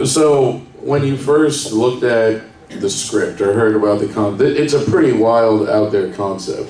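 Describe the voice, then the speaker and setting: Room echo is audible as a man speaks at a fairly slow pace and a medium pitch. His pitch varies in an ordinary way, with noticeable background noise behind him. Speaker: magazine writer and panel moderator. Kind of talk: hosting a panel Q&A. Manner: loud.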